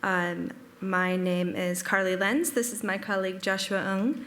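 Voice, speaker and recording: In an audible room echo, a woman with an American accent and a medium pitch speaks in a bright, sharp tone with ordinary pitch variation. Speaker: digital preservation analyst. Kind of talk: conference presentation. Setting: stage with audience, streamed.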